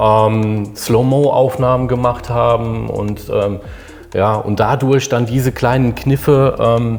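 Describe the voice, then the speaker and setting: A man speaks very slowly at a medium pitch in a monotone, flat intonation, with music in the background. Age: 50s. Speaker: engineering design manager. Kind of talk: interview conversation.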